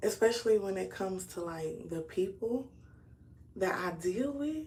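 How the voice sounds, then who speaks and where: A somewhat breathy woman speaks with lively intonation. Room echo is audible. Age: 30s. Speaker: YouTuber. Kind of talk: casual livestream talk. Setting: live stream.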